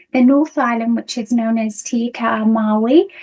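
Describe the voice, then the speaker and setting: A fairly slow pace in a British accent, with ordinary pitch variation. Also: woman. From United Kingdom. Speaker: nursing lecturer. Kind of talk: conference presentation. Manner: hesitant, many fillers.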